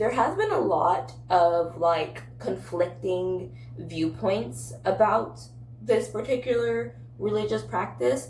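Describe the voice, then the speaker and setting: A woman speaks at a very slow pace. Noticeable background noise and audible room echo are present. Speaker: book and lifestyle content creator. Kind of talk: casual vlog. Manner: casual with filler words.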